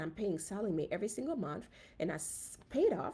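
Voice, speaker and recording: A woman with a Haitian accent talks at a fairly quick pace. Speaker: physician and personal finance host. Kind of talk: casual live stream talk. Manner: conversational, with fillers.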